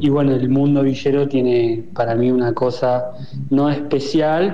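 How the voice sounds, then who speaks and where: Music plays in the background as a man with a fairly high pitch talks at a fairly slow pace amid audible room echo. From Argentina, Buenos Aires suburbs. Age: 20s. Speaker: poet. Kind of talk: interview. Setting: pre-recorded audio.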